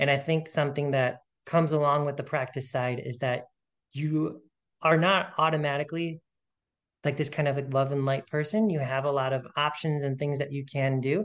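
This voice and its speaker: A man with an ordinary speaking voice talks at a moderate pace and a fairly high pitch. His intonation is fairly even, and the background is quiet. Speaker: author, podcast guest.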